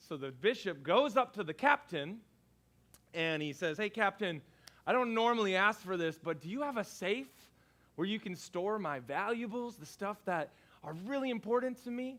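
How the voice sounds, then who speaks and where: Loud, bright and sharp speech at a moderate pace, with lively intonation. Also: man, high pitch for a man. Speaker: pastor. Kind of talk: sermon.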